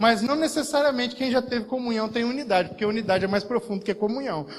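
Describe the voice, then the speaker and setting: Through noticeable background noise, a man speaks at an extremely high pitch with ordinary pitch variation. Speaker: pastor. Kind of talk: sermon. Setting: church service.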